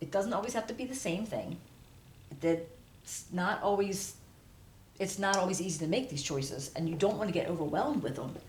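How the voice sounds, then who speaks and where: At a fairly quick pace, a woman with a medium-pitched voice talks with lively intonation, and room echo is audible. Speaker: tarot reader. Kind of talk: tarot reading to camera. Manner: halting, self-correcting; casual, conversational.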